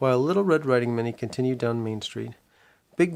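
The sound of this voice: This is an unforced reading voice. It reads the text.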